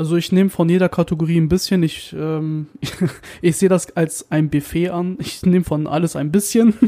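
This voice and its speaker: With a dark, mellow tone and a high pitch, a man speaks at a moderate pace with fairly even intonation. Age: 20s. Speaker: podcast co-host, media designer. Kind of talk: casual chat.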